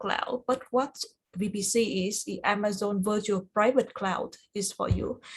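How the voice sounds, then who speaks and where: Fairly even in intonation and somewhat breathy, the speech keeps a moderate speed. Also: woman. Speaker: cloud certification study group instructor. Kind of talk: online tutorial review session. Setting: video call. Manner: halting, many fillers.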